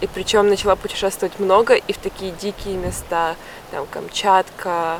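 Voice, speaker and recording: Noticeable background noise sits behind a woman at medium pitch. She talks at a moderate pace with monotone, flat intonation. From Russia. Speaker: travel vlogger. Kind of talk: travel vlog narration and interview.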